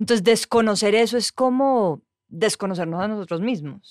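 Here a woman talks. The background is silent, making for a very clean recording. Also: dry, close sound with no echo. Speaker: journalist. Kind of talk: casual chat.

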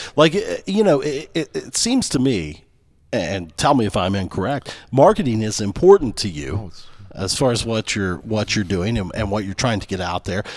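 An ordinary speaking voice from a man, fairly low in pitch with lively intonation, at a moderate pace on a very clean recording with a silent background. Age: 40s. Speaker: podcast co-host. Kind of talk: casual chat.

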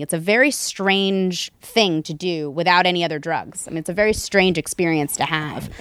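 In an ordinary speaking voice, a woman with an American accent speaks at a moderate pace and medium pitch, the sound dry and close with no echo. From US South, Raleigh, North Carolina. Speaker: neurofeedback technician. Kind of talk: casual interview. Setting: in person at a home.

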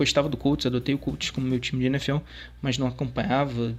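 A man talks at a fairly quick pace in a normal speaking voice. His medium pitch follows fairly even intonation. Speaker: sports fan contributor. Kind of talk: recorded testimony.

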